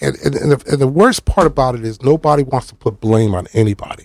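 A man with an ordinary speaking voice talks at a fairly quick pace, his loudness swinging widely and his pitch varying in an ordinary way. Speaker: retired firefighter and commissioner. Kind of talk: casual interview chat. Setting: radio studio.

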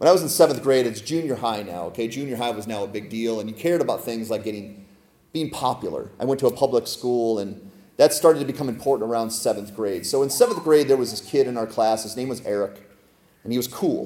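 A man with a medium pitch talks at a very fast pace with ordinary pitch variation and big swings in loudness, over noticeable background noise. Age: 40s. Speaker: pastor. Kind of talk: sermon.

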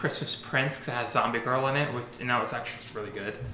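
Through noticeable background noise, a man speaks at a medium pitch. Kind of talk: casual chat.

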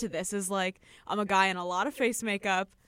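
Recorded very cleanly against a silent background, with a dry, close sound and no echo, a woman in a Chicago accent talks at a moderate pace and medium pitch. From US Midwest, Chicago. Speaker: podcast co-host. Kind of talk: casual chat.

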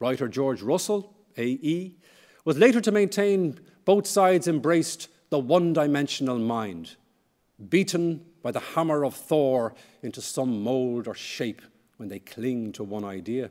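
A man with an Irish accent, fairly slow pace, fairly high pitch, very wide pitch swings and big swings in loudness. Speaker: history professor. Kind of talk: lecture.

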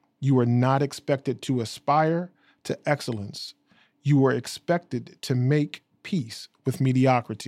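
With an unremarkable speaking voice, a man talks at a fairly slow pace with medium pitch and ordinary pitch variation, on a very clean recording with a silent background. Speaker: radio station manager. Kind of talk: interview.

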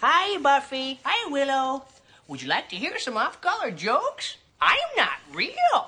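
A high-pitched, put-on character voice is speaking. Its pace is fairly slow.

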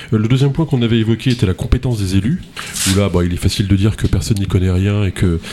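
This man talks at a very fast pace in a fairly low pitch. There is noticeable noise in the background. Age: 50s. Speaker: radio host. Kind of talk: radio political debate moderation.

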